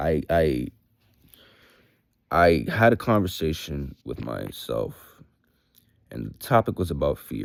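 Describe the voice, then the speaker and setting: A man speaks very slowly with long, frequent pauses, his very deep, low voice showing vocal fry. His pitch swings very widely and his loudness rises and falls sharply. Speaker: vlogger. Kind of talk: casual monologue vlog. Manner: casual, hesitant with fillers.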